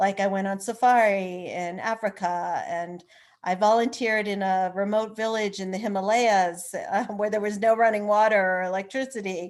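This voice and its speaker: An unremarkable speaking voice: a woman at medium pitch with fairly even intonation, a moderate pace, hardly any pauses and a quiet background. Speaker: author and attorney. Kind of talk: interview conversation.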